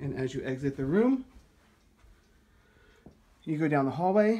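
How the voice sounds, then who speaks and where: Lively intonation and a moderate pace from a male speaker. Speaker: home tour narrator. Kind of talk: casual walkthrough commentary. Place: home room. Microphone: phone near.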